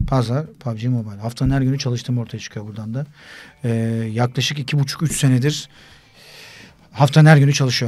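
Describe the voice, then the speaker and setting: Somewhat breathy and at a medium pitch, a man speaks at a fairly quick pace with fairly even intonation, broken by long, frequent pauses. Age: 40s. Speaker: sports broadcaster; podcast guest. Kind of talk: casual chat. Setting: studio. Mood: relaxed, joking. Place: studio. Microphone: studio mic.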